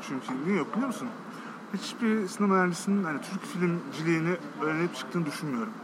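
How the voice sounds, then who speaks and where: Noticeable background noise sits behind a man talking at a very fast pace. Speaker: commercial film director. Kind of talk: casual interview. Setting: cafe.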